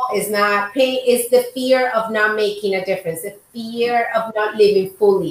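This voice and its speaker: A woman speaks with a Spanish accent. Her pitch is fairly high and her intonation fairly even. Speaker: podcast host, doctor. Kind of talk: casual interview chat.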